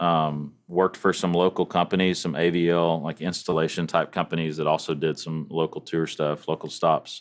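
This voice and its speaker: A Texan accent at a moderate pace, in a very clean recording with a silent background. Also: man. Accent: Texan US Southern. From East Texas. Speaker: church audio director. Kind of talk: casual chat.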